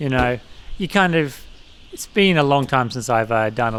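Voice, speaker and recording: A man with an Australian accent mumbles his words. His voice sits at medium pitch. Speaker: let's play gamer. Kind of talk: gameplay commentary. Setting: home computer at dining table. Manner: mumbling.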